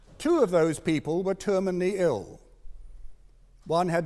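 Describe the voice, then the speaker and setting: This man has a British accent and a dark, mellow tone. His pitch is high for a man, and he talks at a moderate pace. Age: 70s. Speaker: doctor and assisted dying campaigner. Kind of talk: formal debate speech.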